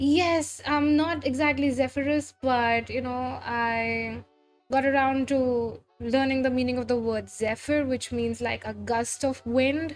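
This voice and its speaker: Music plays in the background as a woman talks at a high pitch, fairly slowly, with fairly even intonation. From India. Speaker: vtuber art streamer. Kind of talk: casual livestream chat while drawing. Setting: livestream.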